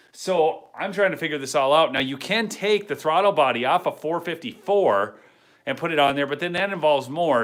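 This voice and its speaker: Lively intonation marks this man's fairly high-pitched voice. He speaks at a fairly quick pace. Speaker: YouTuber, truck mechanic hobbyist. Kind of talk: casual live stream chat. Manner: fast; halting, with fillers and restarts.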